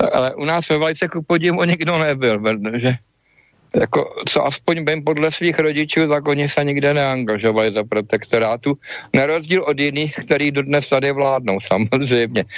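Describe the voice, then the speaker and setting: A man with a fairly high pitch speaks at a moderate pace with ordinary pitch variation in an unremarkable speaking voice. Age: 50s. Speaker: inventor and medical device maker. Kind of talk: interview. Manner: casual with many fillers.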